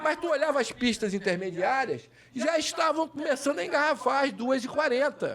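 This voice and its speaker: A man's animated, lively-intoned voice over noticeable background noise. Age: 60s. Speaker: political candidate. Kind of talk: casual political chat.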